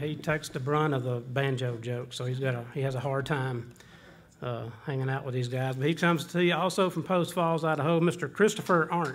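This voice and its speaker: With a Southern US accent, a man speaks at a fairly quick pace and a fairly high pitch. Audible room echo and noticeable background noise surround him. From Georgia, US South. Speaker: bluegrass bandleader. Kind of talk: stage banter. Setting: stage with audience. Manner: folksy, joking.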